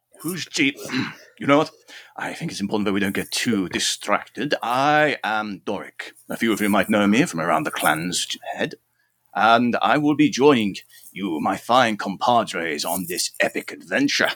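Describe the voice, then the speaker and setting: A plain, everyday voice moves at a moderate pace with lively intonation. The sound is dry and close with no echo, and the recording is very clean over a silent background. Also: man, medium pitch for a man. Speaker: player in role-playing game.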